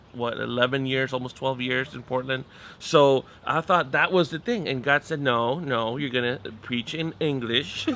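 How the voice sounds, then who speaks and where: At a moderate pace, the delivery holds fairly even intonation. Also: man, medium pitch for a man. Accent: Spanish. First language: Spanish. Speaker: pastor. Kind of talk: interview conversation. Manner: halting.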